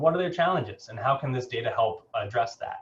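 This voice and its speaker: This man speaks very fast. Pitch variation is ordinary. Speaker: keynote speaker, geospatial technology director. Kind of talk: keynote presentation. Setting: video call.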